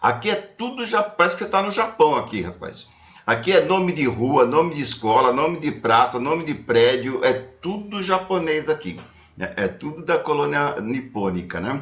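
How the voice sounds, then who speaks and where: Through noticeable background noise, a man talks at a moderate pace, fairly high in pitch and with very wide pitch swings. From Brazil, São Paulo city. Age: 60s. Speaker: retired speaker and storyteller, activist. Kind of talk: casual chat.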